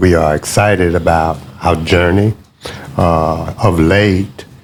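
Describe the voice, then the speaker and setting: Over noticeable background noise, a man speaks at a very slow pace. His pitch is very deep and low, with fairly even intonation. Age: 60s. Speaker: pastor. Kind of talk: interview.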